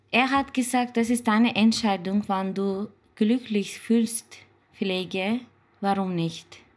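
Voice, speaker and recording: Very slowly and with fairly even intonation, a woman with a Turkish accent talks in a somewhat breathy, fairly high-pitched voice. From Turkey. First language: Turkish (speaking German). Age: 30s. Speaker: care assistant. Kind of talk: interview. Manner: halting.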